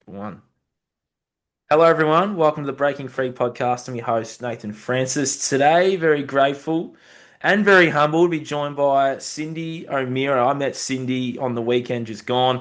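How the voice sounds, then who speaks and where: A man with an Australian accent, fairly high in pitch, at a moderate pace and with ordinary pitch variation. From Australia (Bendigo, Victoria). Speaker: podcast host. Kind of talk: podcast interview.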